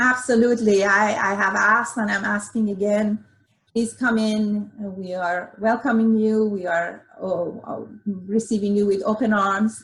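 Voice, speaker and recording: A woman speaks at a fairly slow pace in a flat monotone. She has a slight Iranian accent. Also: medium pitch for a woman. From Iran, Tehran. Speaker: dentist, dental society president. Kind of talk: interview. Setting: video call. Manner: hesitant, many fillers.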